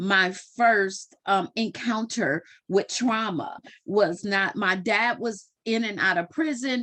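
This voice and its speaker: Against a quiet background, a woman speaks at a fairly high pitch with a bright, sharp tone and lively intonation. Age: 40s. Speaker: interviewee sharing trauma story. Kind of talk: testimony. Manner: halting.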